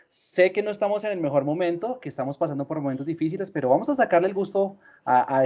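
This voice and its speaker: A man with a Colombian accent, high pitch, dark, mellow tone, lively intonation and a very fast pace, in a quiet background. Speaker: sales manager. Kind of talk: webinar presentation.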